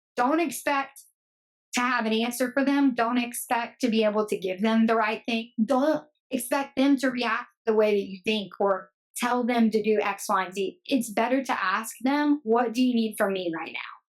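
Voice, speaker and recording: Here is a woman with a plain, everyday voice, fairly high in pitch. She speaks at a moderate pace with ordinary pitch variation. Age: 30s. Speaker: teacher. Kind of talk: casual chat. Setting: podcast.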